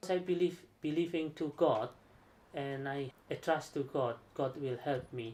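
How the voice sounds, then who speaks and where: Speaking fairly slowly in an Indonesian accent, a man uses a fairly high pitch with ordinary pitch variation. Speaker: aerospace engineer. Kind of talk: interview. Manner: halting.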